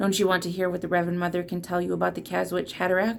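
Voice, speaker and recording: Rattling along at a very fast pace, a put-on character voice that sounds female comes out raspy and fairly low-pitched over clear background noise. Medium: read story.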